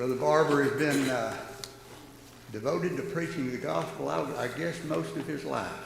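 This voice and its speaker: Over noticeable background noise and audible room echo, a man with a Southern US accent and fairly high pitch talks at a moderate pace, his pitch swinging very widely. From North Georgia, US South. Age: 60s. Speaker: church class leader. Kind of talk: church announcements and introduction. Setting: church Bible class.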